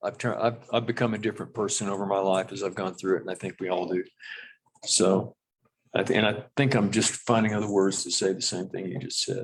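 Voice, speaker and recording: Talking at a very fast pace, a man uses a fairly low pitch. His intonation stays fairly even. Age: 70s. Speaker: county commissioner. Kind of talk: public meeting discussion. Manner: halting.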